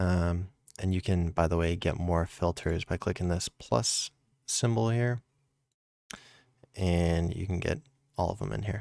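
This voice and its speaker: Ordinary pitch variation in a dry, close sound with no echo, on a very clean recording with a silent background. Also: man. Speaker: streaming tech youtuber. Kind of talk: tutorial. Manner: casual with many fillers.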